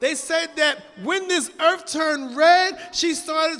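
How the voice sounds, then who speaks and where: Raising and projecting his voice, a man speaks at an extremely high pitch in a bright, sharp tone, with ordinary pitch variation and a fairly slow pace. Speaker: religious lecturer. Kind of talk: sermon. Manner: loud.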